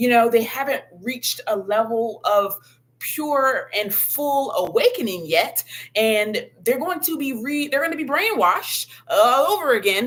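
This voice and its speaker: A woman talks at a fairly slow pace in an animated tone, her high pitch making very wide swings. Noticeable background noise sits behind her. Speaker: spiritual content creator. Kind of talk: livestream monologue. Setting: live video stream.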